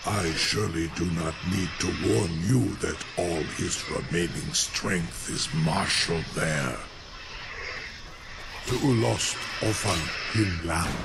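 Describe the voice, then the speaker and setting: Someone uses a put-on character voice at a fairly slow pace, with long, frequent pauses. Loud background noise fills the recording. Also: man, very deep, low pitch for a man. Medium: machinima. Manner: formal, archaic.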